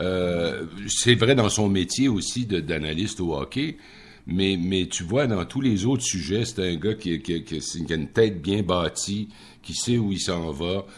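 Very slowly, a man talks in a very deep, low pitch with ordinary pitch variation. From Quebec, Rimouski area. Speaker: radio commentator. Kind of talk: casual chat.

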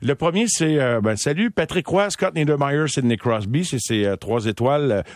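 A normal speaking voice with lively intonation moves at a moderate pace, its sound dry and close with no echo over a quiet background. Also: man. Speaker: sports radio host. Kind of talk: casual chat. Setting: studio.

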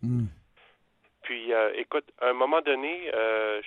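A man speaks fairly slowly in an unremarkable speaking voice, his medium pitch showing ordinary variation. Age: 40s. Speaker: radio caller. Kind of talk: phone-in chat. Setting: phone call.

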